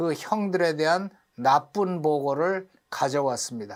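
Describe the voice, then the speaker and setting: Here a man speaks with a high pitch. His pitch variation is ordinary. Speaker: English teacher teaching through Bible reading. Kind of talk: lecture. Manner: animated.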